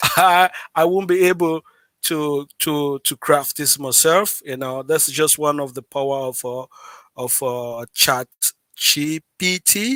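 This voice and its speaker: Recorded with a dry, close sound and no echo, a man speaks in a fairly high pitch with a bright, sharp tone. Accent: non-native. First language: not English. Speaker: livestream host. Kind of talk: live stream tutorial. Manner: animated; halting, repeats words.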